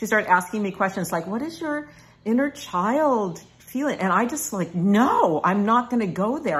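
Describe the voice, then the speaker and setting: At a fairly slow pace, a woman's somewhat breathy voice makes very wide pitch swings. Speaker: personal growth video blogger. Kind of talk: casual talk to camera.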